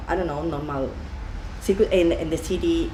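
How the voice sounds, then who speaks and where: The speaker has a Spanish accent. Audible room echo surrounds the voice. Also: woman. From Spain, Valencia region. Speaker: deli owner. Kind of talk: interview. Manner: halting, many fillers.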